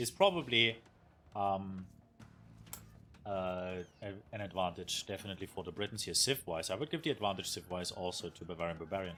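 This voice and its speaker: A man with a German accent and fairly low pitch, fairly quick yet with long, frequent pauses, on a very clean recording with a silent background. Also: ordinary pitch variation. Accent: German accent, recognizable. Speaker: esports caster and streamer. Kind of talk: live commentary. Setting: live stream. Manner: halting, many fillers.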